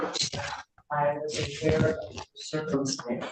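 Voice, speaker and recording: Audible room echo surrounds the speech of a woman. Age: 70s. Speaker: landlord, plaintiff in court. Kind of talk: court hearing testimony.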